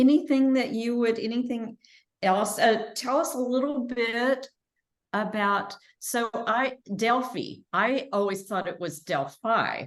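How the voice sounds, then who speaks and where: In a Texan accent, a woman talks at a very slow pace with a fairly high pitch and ordinary pitch variation. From Texas. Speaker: interviewer. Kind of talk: interview. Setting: video call.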